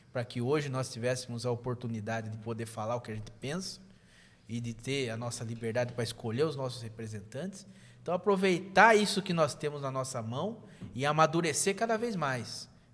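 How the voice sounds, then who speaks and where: At a fairly quick pace, a man with an ordinary speaking voice and medium pitch talks with lively intonation. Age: 30s. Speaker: state legislator. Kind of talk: podcast interview.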